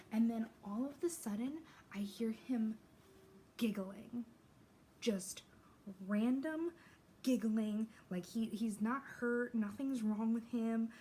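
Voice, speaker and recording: A woman's fairly high, somewhat breathy voice with a dark, mellow tone, ordinary pitch variation and a very slow pace. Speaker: beauty vlogger. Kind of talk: casual get-ready-with-me chat. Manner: casual, filler-heavy; quiet.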